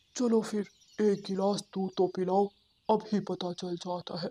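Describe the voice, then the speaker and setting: Using a cartoonish character voice, a woman speaks at a medium pitch with monotone, flat intonation. Her moderate pace comes through a dry, close sound with no echo. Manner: authoritative.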